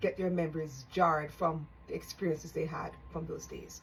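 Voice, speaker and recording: A woman's fairly low-pitched voice, an ordinary speaking voice at a fairly quick pace. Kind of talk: casual talk to camera.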